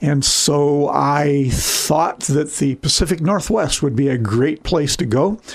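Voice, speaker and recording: A man's fairly high voice at a very slow pace, with very even loudness, hardly any pauses, ordinary pitch variation and noticeable background noise. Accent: American. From Michigan, US Midwest. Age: 70s. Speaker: company founder. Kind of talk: podcast interview.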